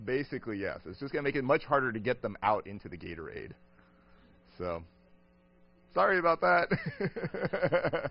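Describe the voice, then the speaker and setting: The speech has long, frequent pauses and big swings in loudness. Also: man. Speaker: professor lecturing on a cruise. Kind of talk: lecture. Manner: fast when excited.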